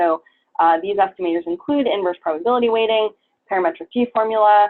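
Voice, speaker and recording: Speaking very fast, a woman of medium pitch uses ordinary pitch variation. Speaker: biostatistics professor. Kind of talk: lecture. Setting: workshop with audience. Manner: hesitant, many fillers.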